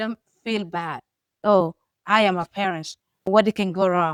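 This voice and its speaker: On a very clean, dry, close recording with no echo and a silent background, a woman with a Sudanese accent speaks with ordinary pitch variation. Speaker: podcast co-host, foster mother. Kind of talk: casual chat.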